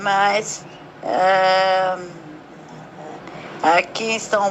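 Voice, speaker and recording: Over noticeable background noise, a woman speaks at medium pitch with monotone, flat intonation. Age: 70s. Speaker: patient sharing her story. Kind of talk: testimony.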